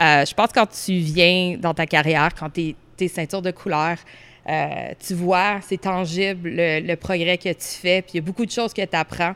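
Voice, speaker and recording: A woman speaks at a fairly slow pace in an ordinary speaking voice, her fairly low pitch and fairly even intonation captured in a very clean recording with a silent background. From Orléans, Ottawa, Ontario. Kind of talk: casual interview.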